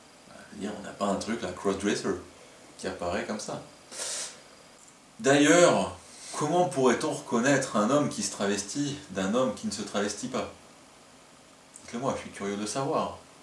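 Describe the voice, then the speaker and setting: Delivered at a fairly slow pace with lively intonation, the speech has big swings in loudness and long, frequent pauses, set against audible room echo and noticeable background noise. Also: man. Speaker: video blogger, crossdresser. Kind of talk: comedic top-ten monologue. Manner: animated.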